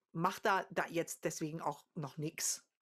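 A woman's fairly low voice comes through against a quiet background. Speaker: singer and vocal coach; vocal coach. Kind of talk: casual chat. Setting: video call. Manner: contagious laugh. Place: home room.

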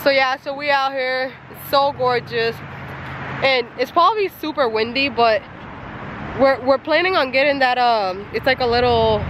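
Noticeable background noise sits under a dry sound with no echo. The pace is moderate and the pitch varies in an ordinary way. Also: woman. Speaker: vlogger. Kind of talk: casual vlog chat. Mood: relaxed, amused. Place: beach. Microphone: phone near.

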